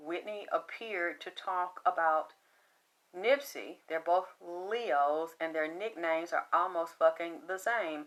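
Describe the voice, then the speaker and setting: A woman speaks with a Southern accent at a fairly low pitch. Her pace is very slow. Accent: flat Southern. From US South. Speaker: psychic medium. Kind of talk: psychic reading monologue. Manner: animated.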